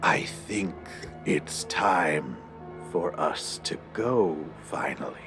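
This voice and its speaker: A put-on character voice growls at a very slow pace with long, frequent pauses, while clear music plays in the background. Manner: whispering.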